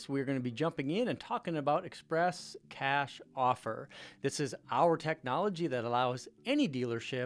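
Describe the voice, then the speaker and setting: On a very clean recording with a silent background, a man speaks in a plain, everyday voice at a fairly high pitch with ordinary pitch variation. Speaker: car dealership technology company CEO. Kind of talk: product demo narration, screen-share presentation. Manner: casual, conversational.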